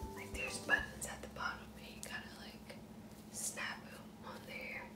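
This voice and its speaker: A woman speaks over loud background noise. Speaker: ASMR vlogger. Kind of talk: ASMR clothing try-on haul. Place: home room. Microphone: phone near.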